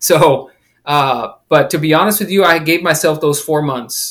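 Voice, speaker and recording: A plain, everyday voice with fairly even intonation. The recording is very clean with a silent background. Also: man. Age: 40s. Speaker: author and amateur triathlete. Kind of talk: casual interview.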